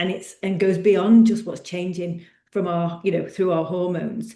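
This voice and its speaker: Speaking at a moderate pace with a British accent, a woman has a dark, mellow tone, with audible room echo around her voice. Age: 50s. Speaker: personal trainer. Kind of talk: podcast monologue. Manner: halting.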